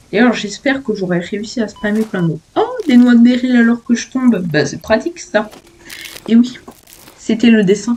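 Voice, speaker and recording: Moderate pace and ordinary pitch variation from a woman with a fairly high voice, amid noticeable background noise. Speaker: gaming youtuber. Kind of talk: casual let's play commentary. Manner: animated.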